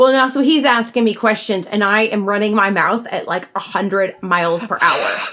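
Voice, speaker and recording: Over noticeable background noise, a woman with an American accent speaks at a moderate pace with a fairly high pitch and ordinary pitch variation. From Georgia, US South. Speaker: podcast co-host. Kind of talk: casual chat. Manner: animated.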